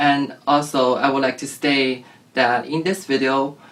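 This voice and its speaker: A man with a Chinese accent, fairly high in pitch and fairly slow, over noticeable background noise. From China. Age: 20s. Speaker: transgender guest sharing experience. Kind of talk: interview.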